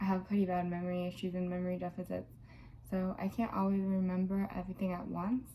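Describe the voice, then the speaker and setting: Quiet and somewhat breathy, a woman of medium pitch talks at a very fast pace in a dark, mellow tone with monotone, flat intonation. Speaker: video blogger with DID. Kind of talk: personal vlog monologue. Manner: hesitant, many fillers.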